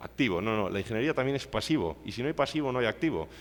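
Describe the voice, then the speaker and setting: A man is speaking. His pitch is medium. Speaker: civil engineer, seminar speaker. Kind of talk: lecture. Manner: fast.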